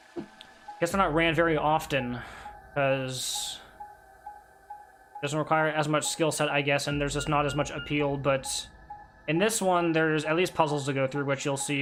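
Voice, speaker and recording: Music plays behind a man whose fairly high pitch and fairly even intonation are broken up by long, frequent pauses. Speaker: speedrunner streamer. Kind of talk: live stream commentary while gaming. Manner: fast, brain faster than mouth; stumbles and stutters sometimes.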